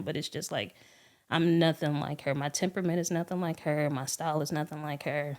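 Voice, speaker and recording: Very clean and recorded against a silent background, a soft-spoken woman's voice comes through. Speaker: podcast guest. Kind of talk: casual chat. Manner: calm.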